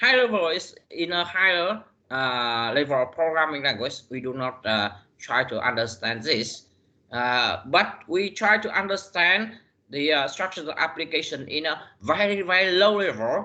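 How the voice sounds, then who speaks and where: Pitched fairly high, the man's voice swings very widely up and down. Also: moderate pace. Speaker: university lecturer. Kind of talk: lecture. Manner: halting, many fillers.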